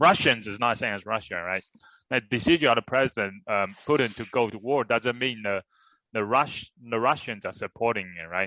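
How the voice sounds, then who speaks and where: Set against a quiet background with a dry, close sound and no echo, a man speaks at a moderate pace in a bright, sharp tone, with medium pitch and ordinary pitch variation. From China. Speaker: podcast co-host. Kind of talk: casual chat. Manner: halting.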